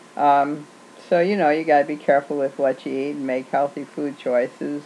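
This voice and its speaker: A woman with a very deep, low pitch keeps her intonation fairly even while noticeable background noise carries on. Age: 60s. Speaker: video blogger on weight loss. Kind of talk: casual video reply. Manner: hesitant, with fillers.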